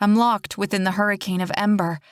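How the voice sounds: This is read in a natural reading voice.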